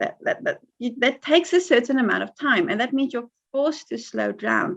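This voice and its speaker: A woman talks with lively intonation. Her voice is high-pitched. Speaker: crochet blogger and tutorial maker. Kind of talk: interview. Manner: repeats words, hesitant starts.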